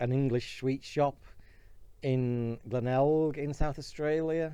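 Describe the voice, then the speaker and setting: A man speaks at a medium pitch with a British accent, his intonation monotone and flat. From Britain. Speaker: YouTuber. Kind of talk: casual vlog monologue. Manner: halting, with fillers and restarts.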